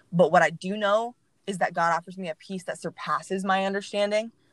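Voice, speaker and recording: A woman's medium-pitched voice in a Texan accent, fairly quick and fairly even in intonation, with a dry, close sound and no echo. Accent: Texan American. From Texas, Mansfield. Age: 20s. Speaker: church communications staff. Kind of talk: casual interview, personal testimony.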